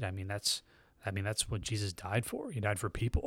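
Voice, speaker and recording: This voice has an American accent and a somewhat breathy quality. It moves at a moderate pace with fairly even intonation. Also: man. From US South, Tallahassee, Florida. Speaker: church member. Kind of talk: testimony.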